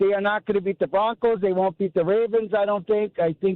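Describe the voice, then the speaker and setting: With a strong Wisconsin accent, a man speaks at a fairly quick pace in a high pitch with fairly even intonation. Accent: thick Wisconsin. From Wisconsin, Sheboygan. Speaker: caller. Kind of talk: sports call-in talk.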